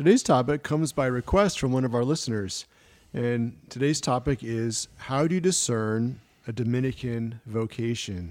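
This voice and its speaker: This man has a normal speaking voice, medium in pitch, moving at a moderate pace with ordinary pitch variation. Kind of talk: radio discussion on faith topics. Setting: radio studio.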